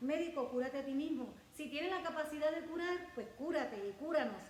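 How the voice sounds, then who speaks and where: A woman with a high pitch and ordinary pitch variation is heard amid noticeable background noise and audible room echo. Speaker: pastor. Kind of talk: sermon.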